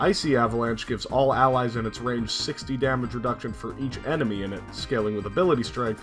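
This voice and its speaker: Over music in the background, a man with a medium pitch and ordinary pitch variation talks at a very fast pace. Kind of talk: game guide narration. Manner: casual, joking.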